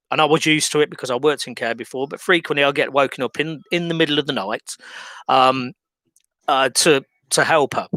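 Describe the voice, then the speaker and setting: In a very clean recording with a silent background and a dry, close sound with no echo, a man with an English accent speaks at a moderate pace in a bright, sharp tone and a fairly high pitch. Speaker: video blogger. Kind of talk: scripted monologue complaint. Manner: hesitant, many fillers.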